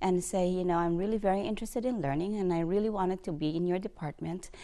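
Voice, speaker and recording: A woman with a Filipino accent speaks in a dark, mellow tone at a fairly quick pace. Her pitch varies in an ordinary way against a quiet background. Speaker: bank executive. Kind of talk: interview testimony. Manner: halting.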